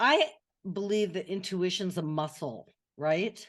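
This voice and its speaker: In an American accent, a woman speaks at a medium pitch with lively intonation. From US West Coast, California (Atherton, Bay Area). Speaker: author and messaging consultant. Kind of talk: interview conversation. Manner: halting, many restarts.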